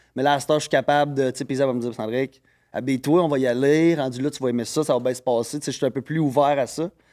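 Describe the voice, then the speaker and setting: Very fast and medium in pitch, a man's dark, mellow voice comes through in a very clean recording with a silent background. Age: 30s. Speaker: guest on a podcast. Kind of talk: casual chat. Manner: loud and fast when excited.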